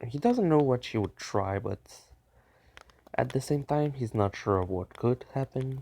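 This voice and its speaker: Soft-spoken and dark, mellow in tone, a man at medium pitch talks at a fairly slow pace with ordinary pitch variation and long, frequent pauses, in a dry, close sound with no echo. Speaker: fan fiction storyteller. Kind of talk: improvised story narration. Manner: halting.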